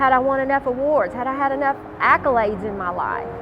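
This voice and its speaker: Speaking in a Southern US accent, a woman talks at a moderate pace in a high pitch, with noticeable background noise. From Louisiana. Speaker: gospel singer and homeless ministry founder. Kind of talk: testimony; scripted narration.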